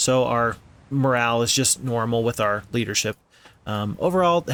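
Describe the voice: The text is read aloud. The reading is plain.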